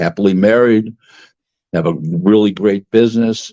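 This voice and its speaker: A man's fairly low voice at a fairly slow pace, dry and close with no echo. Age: 60s. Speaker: boxing businessman. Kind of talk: podcast interview. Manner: halting, with many repetitions and fillers.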